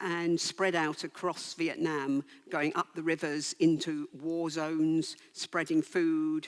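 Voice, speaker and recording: Spoken at a very slow pace, the voice carries an English accent. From England. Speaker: author and conference speaker. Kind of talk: conference talk.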